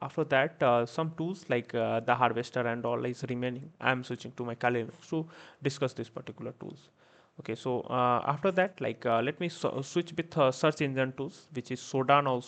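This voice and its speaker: Talking fairly fast, the man keeps a medium pitch that shifts in an ordinary way. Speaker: cybersecurity instructor. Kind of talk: live online class tutorial. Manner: soft-spoken; hesitant, many fillers.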